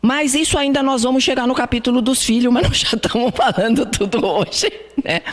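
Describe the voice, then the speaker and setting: A high-pitched woman talks at a medium speed with lively intonation as clear background noise plays. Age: 70s. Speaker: spiritist lecturer. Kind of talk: lecture. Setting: spiritist centre hall with audience. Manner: conversational.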